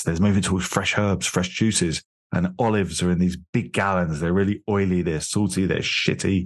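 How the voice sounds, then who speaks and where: With a very deep, low pitch and fairly even intonation, a man talks at a fairly quick pace against a quiet background. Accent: London. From London, England. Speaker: beverage company founder. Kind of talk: interview conversation.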